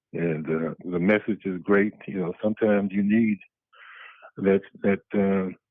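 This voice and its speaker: A soft-spoken man talks at a fairly slow pace, his pitch fairly low and his intonation fairly even. He leaves long, frequent pauses. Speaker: churchgoing ex-Marine caller. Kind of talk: casual chat. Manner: peaceful, soft-spoken; halting, many fillers.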